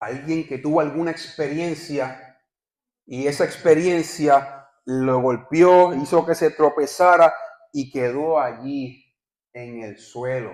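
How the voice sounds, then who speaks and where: The speech moves at a very slow pace, its intonation fairly even while the loudness swings widely. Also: man, fairly high pitch for a man. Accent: Puerto Rican. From Puerto Rico. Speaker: visiting pastor. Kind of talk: sermon.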